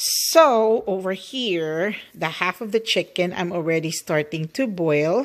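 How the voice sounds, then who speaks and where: A woman speaks very slowly in a Filipino accent. Her intonation is lively. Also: quiet background. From Philippines, Bacolod (Negros). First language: Hiligaynon (Ilonggo). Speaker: cooking vlogger. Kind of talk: cooking tutorial. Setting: home kitchen. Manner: chatty, rambling. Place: kitchen. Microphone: phone near.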